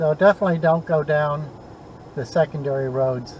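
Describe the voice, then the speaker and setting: Noticeable background noise sits behind the voice. The intonation is fairly even. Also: man. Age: 70s. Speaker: vlogger. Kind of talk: casual narration while driving. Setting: in a car. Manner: relaxed, leisurely.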